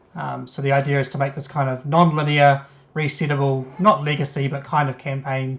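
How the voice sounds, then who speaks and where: A somewhat breathy man with a fairly high pitch, speaking at a moderate pace. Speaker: board game designer. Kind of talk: interview.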